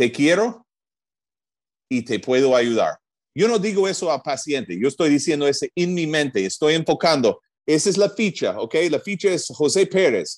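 Delivered at a moderate pace with lively intonation, this voice carries an American accent on a very clean recording with a silent background. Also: man, fairly high pitch for a man. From US Northeast, New Jersey. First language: English (speaking Spanish). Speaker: chiropractor. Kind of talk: interview.

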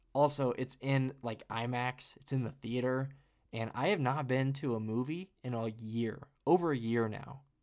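A man speaks at a moderate pace with fairly even intonation and a medium pitch. It is a normal speaking voice. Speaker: solo podcast host. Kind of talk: casual solo monologue. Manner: laughs often.

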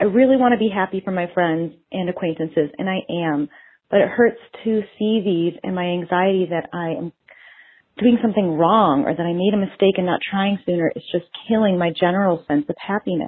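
A woman's unremarkable speaking voice at medium pitch, fairly quick pace and ordinary pitch variation. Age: 30s. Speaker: podcast listener leaving a question. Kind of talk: recorded voicemail question.

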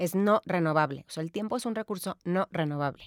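Lively in intonation, a woman uses a plain, everyday voice at a fairly quick pace in a dry, close, very clean recording with no echo and a silent background. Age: 40s. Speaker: time management expert and seminar speaker. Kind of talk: interview.

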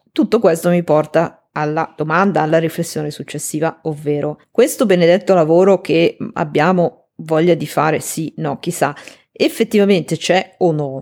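A woman with an unremarkable speaking voice talks at a moderate pace in a fairly low pitch with ordinary pitch variation. The recording is very clean, with a silent background. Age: 40s. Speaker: translator and podcast host. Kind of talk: solo podcast talk.

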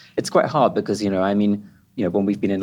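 A man speaks with a southern English accent. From England, suburban town near London. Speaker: artist and designer. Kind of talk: casual chat. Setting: restaurant.

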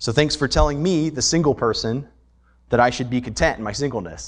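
There is vocal fry as a man talks at a fairly quick pace. The background is quiet. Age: 30s. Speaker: pastor. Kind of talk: sermon.

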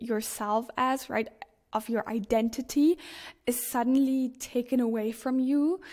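The voice belongs to a woman with a high pitch. She speaks at a fairly slow pace. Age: 20s. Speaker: podcast host. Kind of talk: interview conversation.

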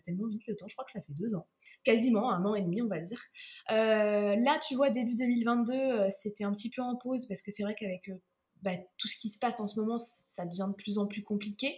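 A fairly high-pitched woman talks at a fairly quick pace, somewhat breathy, with ordinary pitch variation. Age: 20s. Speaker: content creator. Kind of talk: interview, casual chat.

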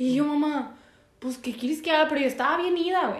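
A woman with a Mexican accent, with audible room echo. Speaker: podcast co-host. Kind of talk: casual chat.

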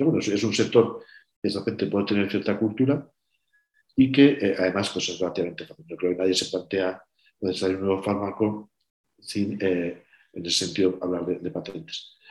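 With an unremarkable speaking voice, a man talks at a fairly quick pace, his pitch fairly low and its variation ordinary. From Spain, Burgos. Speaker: patent and industry executive. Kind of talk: online webinar presentation.

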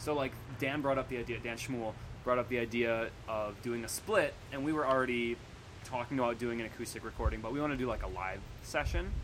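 With an American accent and an unremarkable speaking voice, a man talks at medium pitch with fairly even intonation. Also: fairly quick pace. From Wisconsin. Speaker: band musician and recording engineer. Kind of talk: casual interview.

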